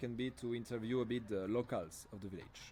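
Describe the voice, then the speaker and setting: A man talks with a French accent at a medium pitch. His tone is dark and mellow. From France. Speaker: language camp trainer. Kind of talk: training presentation. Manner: hesitant, many fillers and self-corrections.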